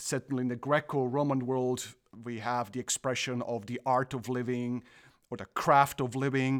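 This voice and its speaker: A man with a Croatian accent at medium pitch, flat and monotone, moderately paced, on a very clean, silent-background recording with a dry, close sound and no echo. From Croatia, partly raised in Germany. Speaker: theology professor. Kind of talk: interview conversation.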